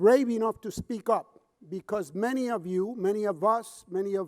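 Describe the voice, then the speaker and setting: In a Puerto Rican accent, a man with a high pitch speaks in a passionate tone, the sound dry and close with no echo. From Puerto Rico. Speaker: addiction counselor and public speaker. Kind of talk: conference keynote speech. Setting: conference stage with audience. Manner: passionate, impassioned.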